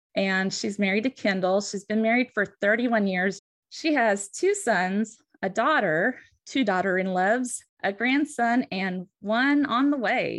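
A woman with an American accent and an ordinary speaking voice, fairly high-pitched, at a fairly slow pace, with ordinary pitch variation over a quiet background. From western US. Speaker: licensed counselor and podcast host. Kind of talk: casual chat.

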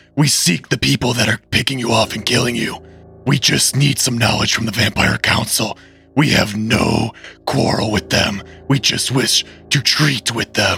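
With faint music in the background, a man uses a put-on character voice at a medium pitch and a moderate pace. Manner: affected, put-on.

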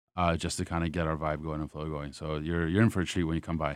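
Over a very clean recording with a silent background, a man with an American accent talks in a monotone, flat intonation. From US South. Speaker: beverage director. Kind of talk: casual interview. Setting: studio.

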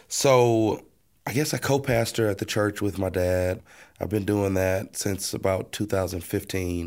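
A man with an American accent and an ordinary speaking voice talks at a fairly slow pace, his fairly low pitch showing ordinary pitch variation. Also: very clean recording, silent background. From Texas, Baytown area. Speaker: co-pastor. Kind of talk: casual chat.

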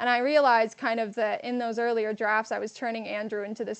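A woman with an American accent talks very fast at a fairly high pitch. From Texas, San Antonio. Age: 20s. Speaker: fiction writer and ghostwriter. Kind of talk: interview. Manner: hesitant with fillers.

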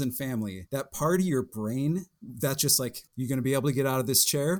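An unremarkable speaking voice. A man at medium pitch uses lively intonation. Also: very clean recording, silent background. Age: 30s. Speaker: patient with rare muscle disease. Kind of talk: interview testimony.

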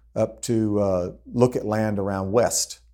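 Speaking with a Texan accent, a man keeps a fairly low pitch and monotone, flat intonation. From Texas (Austin). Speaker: ranch real estate broker. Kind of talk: interview.

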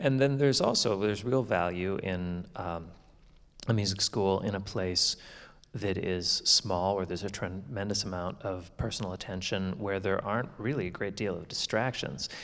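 Audible room echo surrounds a man speaking at a moderate pace. His pitch sits fairly low, with ordinary variation. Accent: Canadian. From Canadian prairies. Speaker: concert violinist. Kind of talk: onstage interview. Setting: stage with audience.

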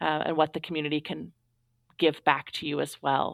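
A woman's very deep, low voice with an American accent and monotone, flat intonation. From Astoria, Oregon coast, US Pacific Northwest. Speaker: elementary school teacher and union leader. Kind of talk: interview.

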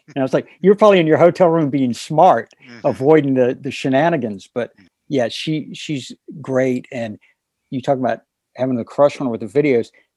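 This man has an American accent and a fairly high voice with a dark, mellow tone. He speaks at a fairly quick pace with ordinary pitch variation. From North Carolina. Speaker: guitarist and author. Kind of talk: interview. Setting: phone call.

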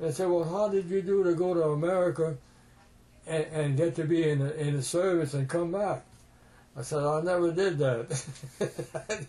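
A man with a fairly high pitch speaks at a moderate pace. His tone is dark and mellow, his intonation fairly even. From Louisiana, US South (Cajun). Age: 80s+. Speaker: war veteran. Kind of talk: oral history interview storytelling.

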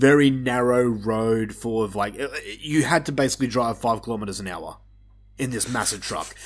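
Over a silent background in a very clean recording, a man with an Australian accent talks at a fairly quick pace, medium in pitch with ordinary pitch variation. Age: 30s. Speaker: podcast host. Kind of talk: casual chat.

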